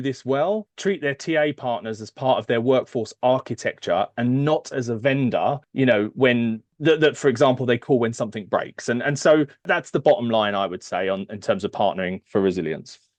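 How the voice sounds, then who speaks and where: A man with a British accent, medium pitch, lively intonation, a fairly quick pace and hardly any pauses. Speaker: HR services executive. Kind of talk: podcast interview. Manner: hesitant, many fillers.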